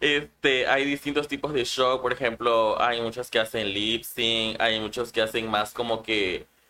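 Using a normal speaking voice, a man at medium pitch talks at a fairly slow pace with fairly even intonation and hardly any pauses. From Chiapas, Mexico. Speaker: drag queen. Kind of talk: interview. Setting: livestream.

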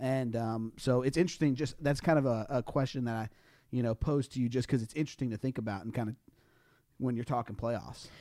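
A man at medium pitch with a Southern US accent, talking very fast with fairly even intonation on a very clean recording with a silent background. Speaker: podcast co-host.

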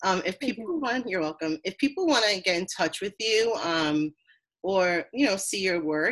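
A woman talks at a moderate pace in a medium pitch, with ordinary pitch variation. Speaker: therapist and podcast host. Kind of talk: scripted introduction; casual interview.

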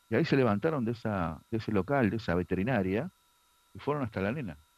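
A man's fairly quick delivery. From Argentina, Buenos Aires area (Ciudadela, Morón). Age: 50s. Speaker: adoptee sharing testimony, pro-life activist. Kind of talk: testimony.

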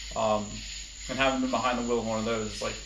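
A man speaks over noticeable background noise. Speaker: podcast guest. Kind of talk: casual chat. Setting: home garage, phone recording. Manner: quiet on recording.

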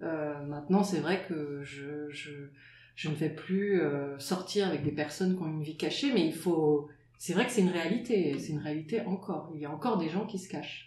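Speaking at a very deep, low pitch with ordinary pitch variation, a woman keeps a moderate pace. Noticeable background noise and audible room echo are present. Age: 40s. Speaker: water polo player, works in advertising. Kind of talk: interview. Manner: halting.

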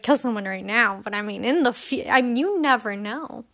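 Speaking at a moderate pace, a woman has an animated, bright, sharp tone and a raised, projected voice. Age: 18. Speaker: podcast host. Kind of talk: casual monologue.

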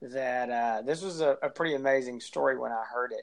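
Here is a man with an unremarkable speaking voice, medium pitch, and ordinary pitch variation. He keeps a moderate pace. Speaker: podcast co-host. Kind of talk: casual chat.

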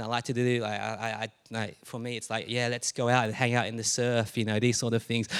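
A man speaks fairly quickly, his voice sitting at a medium pitch. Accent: Australian. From Australia (Melbourne, born Adelaide). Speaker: pastor. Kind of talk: sermon. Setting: church.

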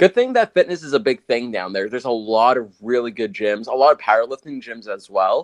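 Here is a man with an unremarkable speaking voice, medium pitch and lively intonation. He talks at a fairly quick pace with hardly any pauses, and the sound is dry and close with no echo. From US, Guatemalan immigrant family. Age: young. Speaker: podcast host and videographer. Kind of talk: casual interview chat.

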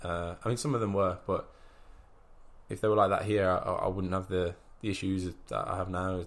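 A man with a very deep, low pitch speaks in a monotone, flat way at a moderate pace, leaving long, frequent pauses. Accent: English. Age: 20s. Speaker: professional boxer. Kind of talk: interview. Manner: halting.

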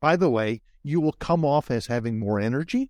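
With a dark, mellow tone and a fairly high pitch, a man talks at a fairly slow pace with lively intonation, the sound dry and close with no echo. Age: 60s. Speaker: career coach. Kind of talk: interview. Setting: video call.

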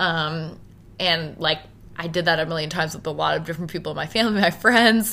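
A woman speaks very fast with a Maritime Canadian accent. Her pitch sits fairly low and rises and falls in an ordinary way. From Halifax, Nova Scotia, Canada. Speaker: business owner. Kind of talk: interview.

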